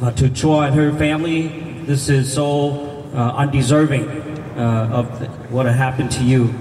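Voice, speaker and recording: A man with a fairly high pitch speaks at a moderate pace in a flat monotone, his loudness very even, over noticeable background noise. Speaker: city council member. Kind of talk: speech at a rally. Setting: outdoors at a rally.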